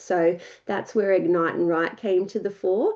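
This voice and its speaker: With an Australian accent, a woman talks at a moderate pace in a medium pitch. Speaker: ghostwriter and writing mentor. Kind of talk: workshop presentation. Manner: casual, many filler words.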